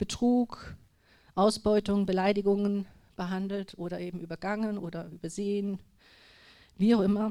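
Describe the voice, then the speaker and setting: Fairly slow speech from a woman at a medium pitch. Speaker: lay speaker at church gathering. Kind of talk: personal testimony. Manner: trembling at times; halting.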